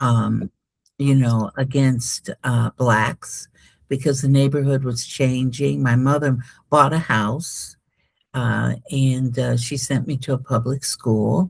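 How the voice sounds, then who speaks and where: A very slow voice with an American accent and fairly even intonation, on a very clean recording with a silent background and a dry, close sound with no echo. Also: woman, very deep, low pitch for a woman. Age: 70s. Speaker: spiritual healer. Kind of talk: interview. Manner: halting.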